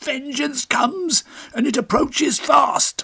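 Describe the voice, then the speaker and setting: This put-on character voice is squeaky and raspy, with a high pitch. It moves at a fairly slow pace. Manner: bold, menacing.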